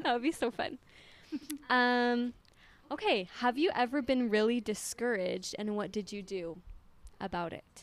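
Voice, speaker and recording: A woman's high voice with an American accent, lively intonation, a moderate pace and long, frequent pauses. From Utah. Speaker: podcast host. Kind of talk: casual interview. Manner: animated.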